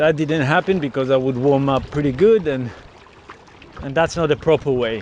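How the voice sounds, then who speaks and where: At a moderate pace, a man with a medium pitch talks with ordinary pitch variation over noticeable background noise. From Israel. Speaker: software engineer and kayaker vlogger. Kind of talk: casual outdoor vlog narration. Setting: outdoors, kayaking on the ocean. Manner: hesitant, many fillers.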